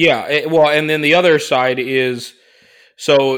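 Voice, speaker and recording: Against a silent background on a very clean recording, a man speaks with a bright, sharp tone and fairly even intonation. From Chinese heritage. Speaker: tabletop gaming podcast regular. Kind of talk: casual chat.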